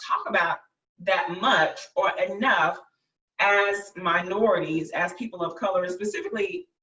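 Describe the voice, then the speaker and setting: A woman's medium-pitched voice with a Southern US accent. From Arkansas. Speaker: summit host, health professional. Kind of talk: virtual summit interview host.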